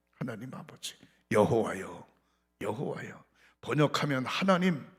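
Very slowly, a man talks as audible echo fills the room. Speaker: pastor. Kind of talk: sermon. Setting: church.

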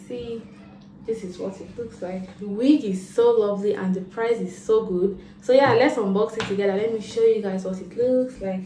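Faint music plays in the background while a woman talks at a moderate pace. Her intonation is fairly even, and room echo is audible. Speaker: vlogger. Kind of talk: casual vlog chat. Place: home room. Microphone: phone near.

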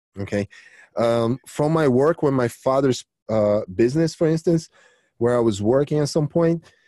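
In a Brazilian accent, a dark, mellow voice carries ordinary pitch variation, with a dry, close sound and no echo. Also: man. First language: Portuguese. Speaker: jiu-jitsu coach and champion. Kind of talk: casual interview chat. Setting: video call.

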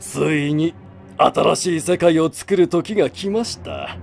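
Someone speaks fairly slowly in a put-on character voice. Clear music plays in the background. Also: man, fairly high pitch for a man. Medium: dub. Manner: calm, authoritative.

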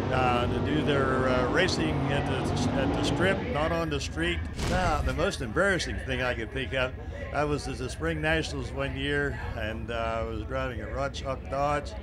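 A man with an American accent speaks at a moderate pace in a very deep, low voice. Noticeable background noise sits behind him. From Ohio, USA. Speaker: teacher and school bus driver. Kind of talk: casting video talk to camera. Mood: confident, humorous. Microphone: handheld.

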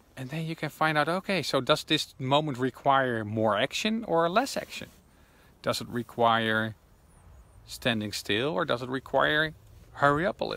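With a bright, sharp tone and lively intonation, a man speaks in a Dutch accent. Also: moderate pace, dry sound with no echo. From Netherlands. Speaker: intuition coach. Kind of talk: vlog monologue. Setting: outdoors in woods. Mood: calm, reflective. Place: forest. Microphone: phone near.

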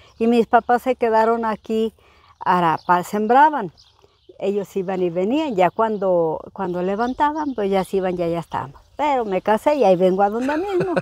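With lively intonation, a woman speaks at a moderate pace, the sound dry with no echo. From Zacatecas, Mexico (rural, near Jerez); Zacatecas, Mexico. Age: 60s. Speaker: rural homemaker; interviewee. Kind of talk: interview. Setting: at her home, rural village. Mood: warm, nostalgic. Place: farm machine.

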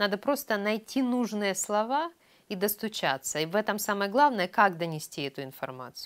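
Over a quiet background, the voice moves in very wide pitch swings. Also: woman, medium pitch for a woman, moderate pace. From Ukraine. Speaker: chief editor of a news publication. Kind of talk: interview. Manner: animated. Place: studio. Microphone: lapel.

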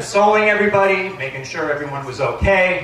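With lively intonation and high pitch, a man projects a raised voice at a moderate pace. Audible room echo and light background noise come through. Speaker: best man giving a wedding toast. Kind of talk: wedding toast, joke-filled best man speech. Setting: wedding reception with live audience. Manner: playful, jokey, teasing, with comic pauses; warm and sincere in the closing lines. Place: tent.

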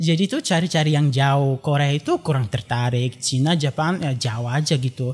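At a moderate pace and with hardly any pauses, a man talks in a fairly high pitch with ordinary variation. His loudness is very even, and faint music plays in the background. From Bulgaria. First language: Bulgarian (speaking Indonesian). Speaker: graduate student and traditional dance learner; guest. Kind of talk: casual interview. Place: studio. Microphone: studio mic.

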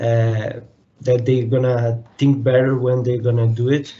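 Somewhat breathy, a man speaks at a fairly slow pace. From Brazil. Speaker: mechanical engineer. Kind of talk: interview. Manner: halting, many repetitions. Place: home room. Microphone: video call.

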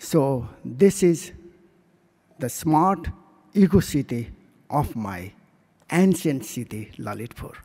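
A man with a dark, mellow tone and vocal fry, very slow pace, long, frequent pauses, very wide pitch swings and big swings in loudness against a quiet background. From Nepal. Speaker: city mayor. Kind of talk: conference presentation. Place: hall. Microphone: podium.

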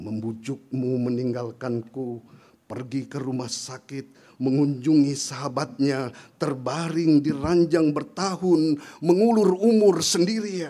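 At a very slow pace, a man delivers his words with lively intonation. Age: old. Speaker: poet. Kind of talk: poetry reading. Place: stage. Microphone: podium.

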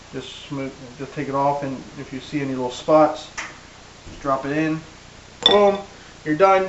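A man's voice at a moderate pace, with ordinary pitch variation and noticeable background noise. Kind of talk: tutorial. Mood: relaxed, good-humoured. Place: kitchen. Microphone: camera far.

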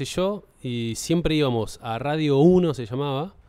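A Rioplatense accent at a fairly slow pace, with lively intonation. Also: man. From Buenos Aires, Argentina. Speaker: podcast host. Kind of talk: casual comedy chat. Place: studio. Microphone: studio mic.

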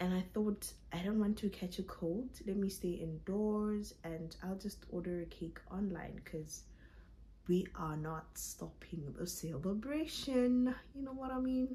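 A somewhat breathy voice with lively intonation at a fairly slow pace. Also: woman. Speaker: vlogger. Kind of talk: casual vlog chat. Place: home room. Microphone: phone near.

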